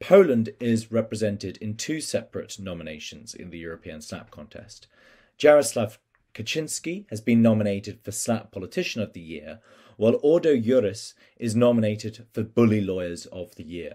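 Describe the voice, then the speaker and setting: Against a quiet background, a man with a dark, mellow tone speaks at a moderate pace, his intonation lively and his loudness swinging widely. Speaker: civil society coalition representative. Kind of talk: prepared statement. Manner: formal. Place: home room. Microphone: webcam.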